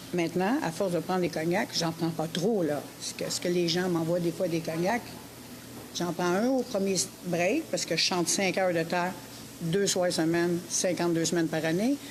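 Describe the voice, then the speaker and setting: Noticeable background noise runs under a woman with a fairly low pitch. Her loudness stays very even, and her pitch variation is ordinary. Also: moderate pace. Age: 60s. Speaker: singer. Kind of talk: interview. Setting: live broadcast from a brasserie.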